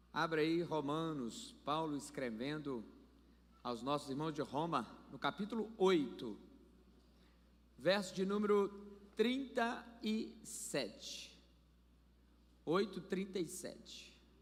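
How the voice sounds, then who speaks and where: With a high pitch and very wide pitch swings, a man speaks very slowly, leaving long, frequent pauses, and the room echo is audible. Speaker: pastor. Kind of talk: sermon. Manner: animated.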